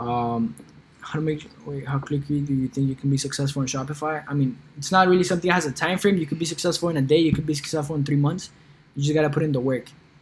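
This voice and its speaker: Over noticeable background noise, a man with a Colombian accent speaks very fast in a fairly high voice with fairly even intonation. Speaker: e-commerce YouTuber. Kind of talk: livestream Q&A. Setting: live stream. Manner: casual, filler-heavy.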